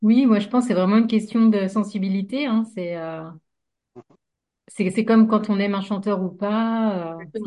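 A woman with a somewhat breathy, dark, mellow tone speaks at medium pitch and a moderate pace. Her intonation is fairly even, and the background is quiet. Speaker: hypnotherapist. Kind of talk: casual discussion. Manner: frequent filler hesitations.

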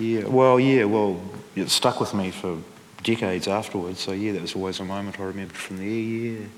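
With a New Zealand accent, a man talks at a fairly quick pace in a fairly low pitch with fairly even intonation. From New Zealand, Central Otago and Dunedin. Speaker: musician and author. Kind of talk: live interview on stage. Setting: stage with audience. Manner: halting.

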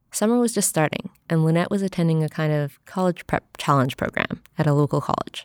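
Speaking at a fairly quick pace, a woman with an American accent uses a normal speaking voice, a fairly low pitch and ordinary pitch variation. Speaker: podcast host and narrator. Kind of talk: scripted narration.

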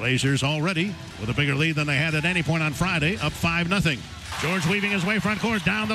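With music in the background, a man talks very fast in a high pitch, his tone animated and his intonation lively. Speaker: radio play-by-play announcer. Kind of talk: live radio play-by-play commentary. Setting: courtside at a basketball game, radio broadcast. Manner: rapid-fire, animated, rising excitement on big plays; clipped, fast, call-by-call narration.

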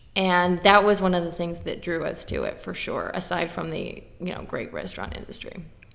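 A woman with an American accent talks with hardly any pauses. Room echo is audible, and background noise is noticeable. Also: moderate pace. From Texas, Dallas suburbs. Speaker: trade news editor. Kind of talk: casual chat. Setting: convention venue, echoey room.

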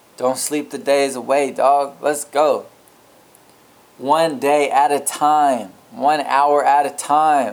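A very slow man with an American accent, fairly high-pitched and very even in loudness. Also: fairly even intonation. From USA. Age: 20s. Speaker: podcaster. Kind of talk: motivational monologue. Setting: alone in a room, recording at computer.

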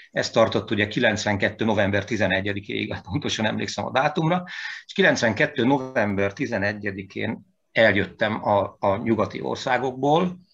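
A man talks at a very slow pace with a fairly low pitch. His intonation is lively, and vocal fry is present. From Hungary, Veszprém. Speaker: composer and pianist. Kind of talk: interview. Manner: animated; halting.

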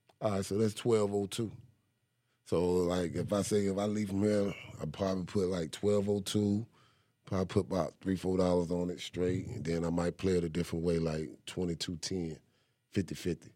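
In a very deep, low voice with a dark, mellow tone, a man speaks at a moderate pace with fairly even intonation. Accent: North Carolina. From eastern North Carolina, Kinston. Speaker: rapper. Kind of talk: casual interview.

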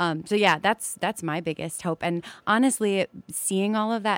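An ordinary speaking voice comes at a fairly slow pace with ordinary pitch variation, in a very clean recording with a silent background and a dry, close sound with no echo. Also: woman. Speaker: soprano singer. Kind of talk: live radio interview. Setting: studio.

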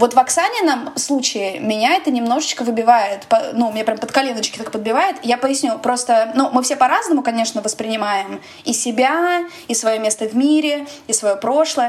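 Over noticeable background noise, the speaker talks at a moderate pace with ordinary pitch variation. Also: woman, high pitch for a woman. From Russia. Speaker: podcast host. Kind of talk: casual chat.

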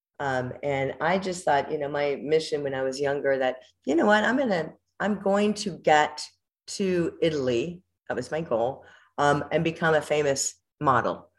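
A woman with an American accent, her very deep, low voice at a moderate pace. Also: ordinary pitch variation. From US, Southern California (Whittier). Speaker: former showgirl dancer. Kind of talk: casual interview chat.

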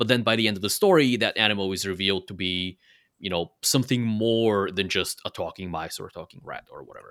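On a very clean recording with a silent background, a man with a non-native accent speaks very fast in a fairly low pitch. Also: ordinary pitch variation, big swings in loudness. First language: not English. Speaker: fan website contributor and podcaster. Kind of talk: casual chat.

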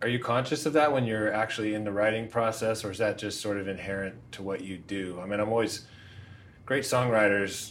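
An ordinary speaking voice from a man, fairly low in pitch, with fairly even intonation. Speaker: interviewer. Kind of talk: interview questions.

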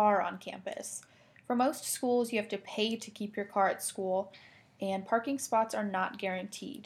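With an American accent, a woman speaks at a moderate pace. Her fairly high voice is somewhat breathy, with ordinary pitch variation. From US Midwest, Indiana. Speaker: college student podcast co-host. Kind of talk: casual chat.

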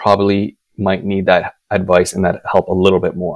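At a moderate pace, a man with a Canadian accent speaks with a fairly low pitch. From Manitoba, Canada. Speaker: financial advisor. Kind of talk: interview. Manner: halting, repeats words.

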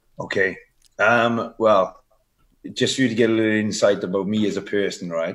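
In a strong Welsh accent, a man speaks at a moderate pace with long, frequent pauses. His pitch is fairly low and his intonation fairly even. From Wales. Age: 30s. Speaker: bodybuilder and fitness coach. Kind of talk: casual interview. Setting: video call from Dubai.

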